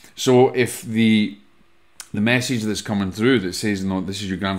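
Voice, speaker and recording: With a Scottish accent, a man speaks at a fairly low pitch. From Scotland. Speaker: podcast host and medium; podcast host. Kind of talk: solo podcast talk, teaching. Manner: casual, conversational with fillers. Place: home room. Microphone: studio mic.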